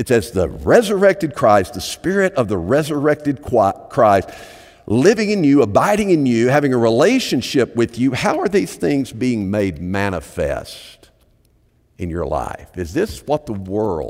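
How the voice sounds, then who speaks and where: This man's voice sits at a medium pitch with vocal fry. His pace is fairly slow and his pitch swings very widely. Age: 60s. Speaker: pastor. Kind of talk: sermon.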